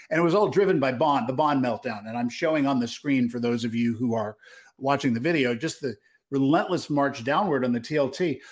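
Here is an ordinary speaking voice from a man, medium in pitch with ordinary pitch variation. He talks at a fairly quick pace on a very clean recording with a silent background. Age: 50s. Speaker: retail trader and podcast co-host. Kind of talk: casual market analysis chat.

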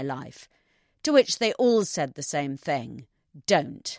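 Recorded with a dry, close sound and no echo, a woman's voice moves through very wide pitch swings. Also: quiet background. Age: 50s. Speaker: columnist. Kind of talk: scripted narration.

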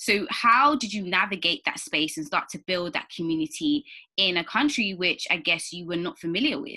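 Very wide pitch swings from a woman with a British accent. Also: medium pitch for a woman, moderate pace. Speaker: podcast host. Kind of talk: interview.

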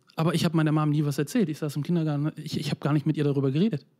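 Talking at a very fast pace, a man with a fairly high pitch and a dark, mellow tone keeps his intonation fairly even on a very clean recording with a silent background. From former East Germany (Mecklenburg-Vorpommern). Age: 30s. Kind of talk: personal testimony in a conversation.

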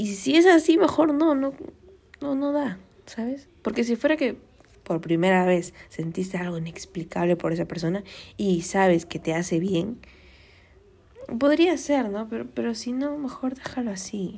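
Her voice swings very widely in pitch, somewhat breathy and dark and mellow in tone, as this woman speaks at a fairly slow pace. The recording is very clean against a silent background. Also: medium pitch for a woman. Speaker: podcast host. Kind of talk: casual advice monologue. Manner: conversational, many fillers.

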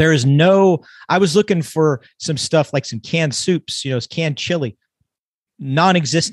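With an American accent and a plain, everyday voice, a man talks at a moderate pace and fairly high pitch in a dry, close sound with no echo. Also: ordinary pitch variation. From California. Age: 50s. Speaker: emergency physician and author. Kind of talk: casual chat.

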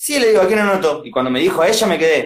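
A man with a high pitch races along at a very fast pace with lively intonation. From Argentina, Buenos Aires province (Junín). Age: 20s. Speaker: freestyle rapper. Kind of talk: casual interview. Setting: live video stream.

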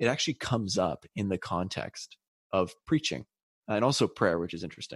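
With a plain, everyday voice, a man speaks fairly quickly at a fairly low pitch with lively intonation, in a very clean recording with a silent background. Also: dry, close sound with no echo. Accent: Canadian. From Canada (British Columbia). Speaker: podcast co-host. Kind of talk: casual chat.

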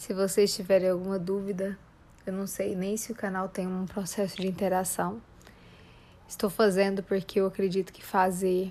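A woman's dark, mellow tone at medium pitch, monotone and flat in intonation, moderate in pace, with big swings in loudness. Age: 30s. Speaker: psychologist and life coach podcast host. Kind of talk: podcast introduction monologue. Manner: informal, with filler hesitations.

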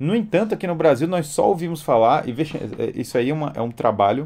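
With lively intonation, the man delivers his words at a fairly quick pace. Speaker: educator and live-stream host. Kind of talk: live-stream lecture with Q&A.

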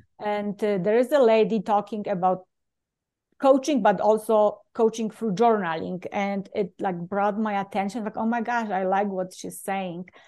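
With a Polish accent, a woman speaks at a moderate pace and medium pitch. Her intonation is fairly even, and the background is quiet. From Poland. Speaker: leadership coach and speaker. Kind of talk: interview.

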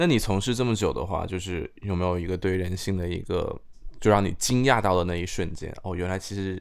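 A man speaks in a very deep, low pitch at a fairly quick pace. His intonation stays fairly even. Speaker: podcast host. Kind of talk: casual chat.

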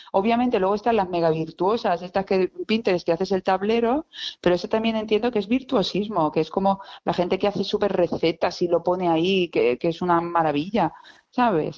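Fairly quick and very even in loudness, a woman at medium pitch talks in an ordinary speaking voice with ordinary pitch variation. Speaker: illustrator, stationery designer. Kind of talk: casual interview chat. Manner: lively, laughing.

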